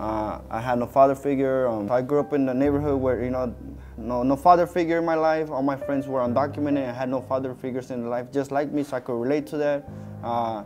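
Faint music plays in the background as a man speaks very fast. His intonation is fairly even. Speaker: interviewee. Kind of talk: interview answer. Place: studio. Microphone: lapel.

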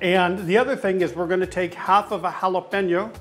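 A man's high-pitched voice at a moderate pace, with faint music in the background

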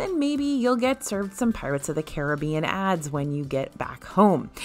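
The speaker has an American accent and an upbeat tone. Their pitch swings very widely at a fairly quick pace. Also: woman. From Buffalo, Western New York. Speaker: theme park news video host. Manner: upbeat, conversational.

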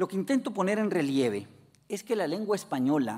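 With a dark, mellow tone, a man's voice moves through very wide pitch swings. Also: quiet background. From Mexico. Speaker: philosopher and language academy director; keynote lecturer. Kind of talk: lecture. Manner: formal. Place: hall. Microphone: podium.

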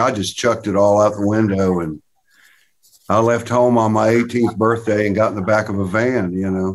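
Fairly quick delivery in an American accent, with fairly even intonation over light background noise. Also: man. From US South, Tennessee. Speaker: session and touring guitarist. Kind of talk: interview. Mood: relaxed, reminiscing. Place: home room. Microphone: video call.

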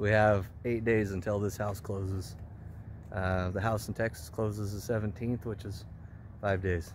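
Over light background noise and in a dry sound with no echo, a man with a fairly low, somewhat breathy voice speaks at a moderate pace in a monotone, flat way. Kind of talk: casual vlog chat. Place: street. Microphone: phone near.

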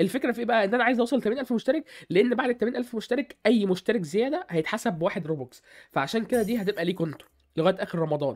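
The speaker has an Egyptian accent, an animated tone and lively intonation. The pace is very fast. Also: man, high pitch for a man. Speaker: gaming YouTuber. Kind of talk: gaming tutorial. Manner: casual, animated.

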